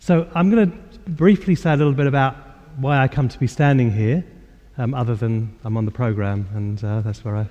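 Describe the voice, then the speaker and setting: A dark, mellow tone in a London accent, with very wide pitch swings. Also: man. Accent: southern English (London). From England, north-west London. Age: 60s. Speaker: spiritual teacher. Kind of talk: lecture. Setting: church hall with audience. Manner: halting, with many fillers.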